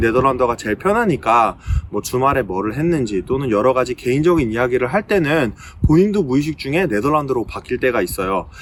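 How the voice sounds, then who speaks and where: Very fast in pace, a man speaks with lively intonation. His pitch sits in the medium range. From Korea. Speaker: recruiter and video blogger. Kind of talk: casual vlog talk. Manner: hesitant with frequent fillers.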